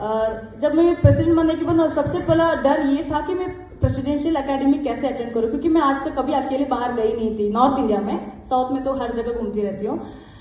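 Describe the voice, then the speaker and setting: Speech comes at a moderate pace. Audible room echo and noticeable background noise surround it. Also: woman, high pitch for a woman, ordinary pitch variation. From South India, Karnataka (Mysore district). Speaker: club member, one-day national president. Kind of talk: acceptance speech. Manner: halting, with many fillers.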